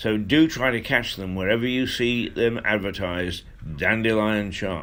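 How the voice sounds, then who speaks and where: A man's fairly low voice with an English accent. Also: ordinary pitch variation, moderate pace. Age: 70s. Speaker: radio host. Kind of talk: casual monologue. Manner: halting.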